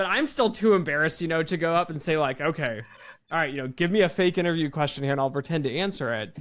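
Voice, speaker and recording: Very fast American-accented speech with ordinary pitch variation, on a very clean recording with a silent background. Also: man. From United States. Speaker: quant researcher. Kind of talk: interview. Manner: casual, filler-heavy.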